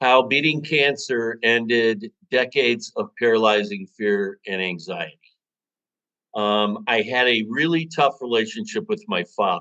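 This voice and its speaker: With an American accent, a man speaks at a fairly slow pace. His medium-pitched voice has a bright, sharp tone. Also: ordinary pitch variation. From US Midwest, Chicago. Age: 60s. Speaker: author. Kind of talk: interview. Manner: halting.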